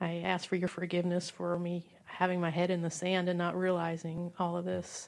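A woman's fairly low voice at a moderate pace, flat and monotone, with hardly any pauses. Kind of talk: fervent prayer. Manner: earnest, pleading.

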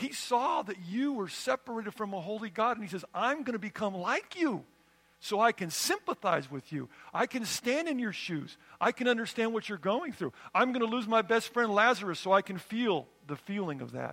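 High-pitched male voice with an American accent, lively intonation and a moderate pace over noticeable background noise. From California. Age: 60s. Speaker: pastor. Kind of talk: sermon.

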